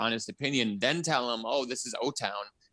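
A man with an American accent talks at a moderate pace in a plain, everyday voice with lively intonation, in a very clean recording with a silent background. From Milwaukee, Wisconsin. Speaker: comedian. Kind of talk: casual chat.

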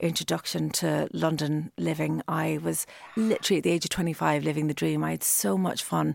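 A woman with a Cork accent speaks at a fairly quick pace. The recording is very clean, with a silent background. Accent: Irish, Cork. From Ireland, Cork. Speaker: fashion influencer. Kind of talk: interview.

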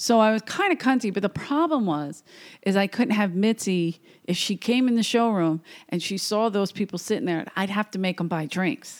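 At a moderate pace, a woman with a Philadelphia accent talks in a medium pitch with lively intonation on a very clean recording with a silent background. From US Northeast, South Philadelphia. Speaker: comedian. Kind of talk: casual chat. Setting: studio.

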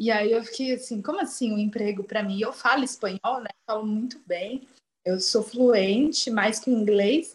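The pace here is moderate. A somewhat breathy woman is speaking. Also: fairly high pitch for a woman, ordinary pitch variation. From Brazil. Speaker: travel writer. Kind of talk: interview.

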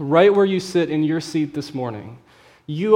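At a moderate pace, a man speaks in an unremarkable speaking voice, fairly high in pitch, with ordinary pitch variation. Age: 20s. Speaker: worship leader. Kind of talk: sermon. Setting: church.

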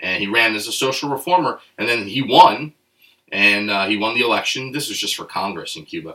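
A man with an American accent and an ordinary speaking voice talks at a fairly quick pace in a medium pitch, with lively intonation and big swings in loudness. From New Jersey (Nutley). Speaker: recovering addict. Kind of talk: casual chat. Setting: small apartment.

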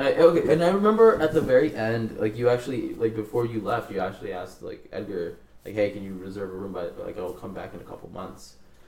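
Over noticeable background noise, a man races along at a very fast pace with hardly any pauses and big swings in loudness. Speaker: podcast co-host. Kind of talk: casual chat.

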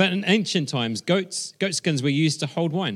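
A man talks with lively intonation at a fairly high pitch and a moderate pace. The recording is very clean, with a silent background. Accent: New Zealand. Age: 40s. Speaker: pastor. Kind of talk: sermon. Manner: halting.

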